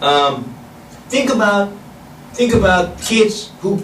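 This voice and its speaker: Amid audible room echo and noticeable background noise, a man with a Korean accent speaks with lively intonation. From South Korea. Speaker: professor. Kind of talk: lecture. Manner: halting.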